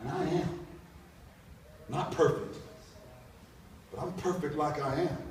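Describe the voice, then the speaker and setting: Fairly even intonation from a man at a high pitch, at a fairly slow pace with long, frequent pauses and noticeable background noise. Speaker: spoken word poet. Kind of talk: spoken word poetry performance.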